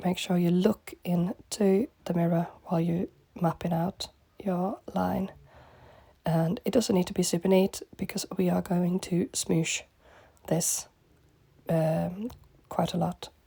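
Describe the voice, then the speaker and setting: A woman speaks at a medium pitch in a dark, mellow, somewhat breathy tone. Her speech has long, frequent pauses. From northern England, Manchester. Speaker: makeup artist. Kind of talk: makeup tutorial.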